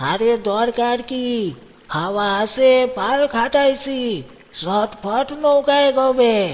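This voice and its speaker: In a put-on character voice, the words come at a very slow pace with ordinary pitch variation. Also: man, extremely high pitch for a man. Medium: read story. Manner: blunt, commanding.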